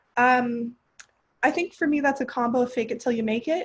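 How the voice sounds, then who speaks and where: A woman with a Californian accent, fairly quick pace and ordinary pitch variation. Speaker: graduate student. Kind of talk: panel discussion. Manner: fast.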